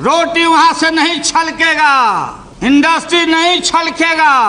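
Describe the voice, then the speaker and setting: A man's raised, projected voice at a very slow pace over light background noise. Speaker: politician. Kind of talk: parliamentary speech. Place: hall.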